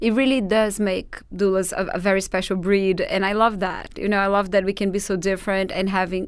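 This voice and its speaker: A woman's medium-pitched voice is heard in a very clean recording with a silent background. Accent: Portuguese. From Brazil, Sao Paulo. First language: Portuguese. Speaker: doula trainer. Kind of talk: podcast interview.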